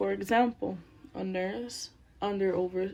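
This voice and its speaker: Very slow speech from a medium-pitched woman in a Spanish accent. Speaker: student. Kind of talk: class presentation. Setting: at home with child nearby.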